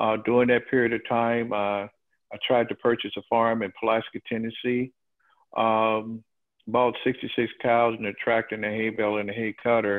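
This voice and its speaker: A man's medium-pitched voice with a Southern US accent, monotone and flat at a moderate pace, over a quiet background. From Alabama. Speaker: farmer; guest. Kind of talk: testimony. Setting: video call. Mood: aggrieved, earnest. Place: home room. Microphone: video call.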